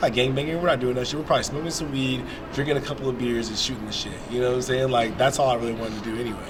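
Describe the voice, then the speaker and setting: Against noticeable background noise and audible room echo, a man with an American accent talks at a very fast pace with fairly even intonation. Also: medium pitch for a man. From Atlanta, Georgia, US South. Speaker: skateboarder interviewed on street. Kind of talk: casual street interview.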